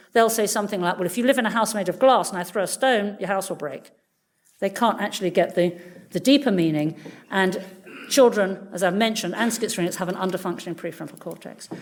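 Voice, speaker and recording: A woman speaks at a very fast pace. Her pitch is medium, with ordinary pitch variation. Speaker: neuroscientist. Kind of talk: lecture.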